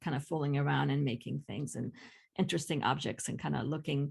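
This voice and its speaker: A woman speaks with vocal fry against a quiet background. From Greece, small village. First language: Greek. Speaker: ceramic artist and art teacher. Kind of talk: casual conversation. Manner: halting, many fillers.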